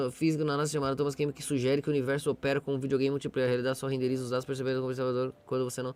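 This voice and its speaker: This man's voice sits at a fairly high pitch. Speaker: livestreamer. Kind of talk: casual live stream chat. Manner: soft-spoken.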